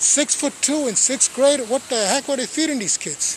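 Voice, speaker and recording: A man with an American accent talks at a moderate pace, his pitch extremely high with lively intonation. Noticeable background noise is present. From Brooklyn, New York (Sunset Park). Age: 60s. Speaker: storyteller / channel host. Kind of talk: personal storytelling monologue. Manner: casual, conversational.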